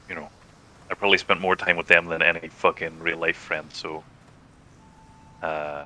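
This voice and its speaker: A man with an American accent, very deep and low in pitch, monotone and flat in intonation, at a moderate pace with long, frequent pauses, big swings in loudness and noticeable background noise. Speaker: streamer, gamer. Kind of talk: casual chat. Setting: voice chat while gaming.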